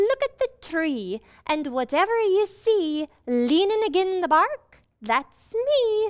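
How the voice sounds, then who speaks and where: In a put-on character voice, someone speaks at a fairly slow pace with an extremely high pitch and very wide pitch swings. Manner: chatty, wry.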